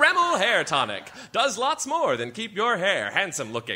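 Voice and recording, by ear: In a put-on character voice, a man speaks at a moderate pace with a high pitch, very wide pitch swings and a bright, sharp tone.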